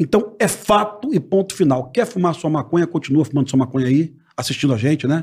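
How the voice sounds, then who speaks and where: A man with an ordinary speaking voice, fairly high pitch, lively intonation, very even loudness and a fairly quick pace. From Rio de Janeiro. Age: 50s. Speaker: former police officer. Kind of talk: casual chat.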